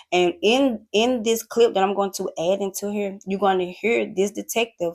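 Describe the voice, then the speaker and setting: A woman's medium-pitched voice at a fairly slow pace, in a very clean recording with a silent background. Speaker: YouTuber. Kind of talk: storytime vlog. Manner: loud; animated.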